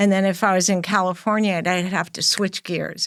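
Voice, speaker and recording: A woman talks with a New York accent. Her pitch sits in the middle range. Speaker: interior designer and podcast host. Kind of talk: interview conversation.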